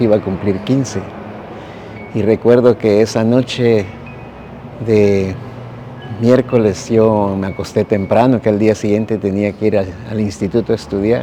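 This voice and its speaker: A man's medium-pitched voice at a fairly slow pace, fairly even intonation, and noticeable background noise. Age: 60s. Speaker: earthquake survivor. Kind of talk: testimony.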